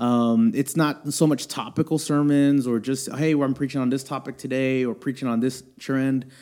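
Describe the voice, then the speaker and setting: In a very clean recording with a silent background, a man with an American accent speaks at a moderate pace in a fairly high, dark, mellow voice with ordinary pitch variation. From Houston, Texas. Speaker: youth ministry director and pastor. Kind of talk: casual interview conversation. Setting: church.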